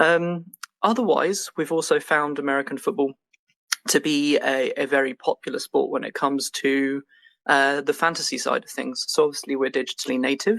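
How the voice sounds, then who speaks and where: A man with an English accent, fairly high in pitch, at a moderate pace. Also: ordinary pitch variation, dry, close sound with no echo. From England. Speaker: game studio co-founder. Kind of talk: podcast interview. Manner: many filler words (um, uh).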